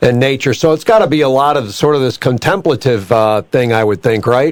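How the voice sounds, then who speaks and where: In a plain, everyday voice, a man talks at a medium pitch and a fairly quick pace. His loudness stays very even while his intonation is lively. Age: 60s. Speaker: radio co-host. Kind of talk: radio interview.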